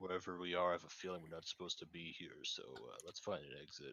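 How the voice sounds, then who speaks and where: Very deep and low, a man's put-on character voice races along at a very fast pace. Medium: actual play.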